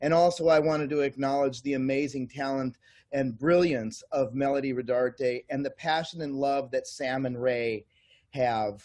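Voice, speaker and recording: A man with an unremarkable speaking voice talks at a moderate pace, pitched fairly high, with fairly even intonation. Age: 60s. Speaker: network marketing distributor, kung fu master and massage therapist. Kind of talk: interview.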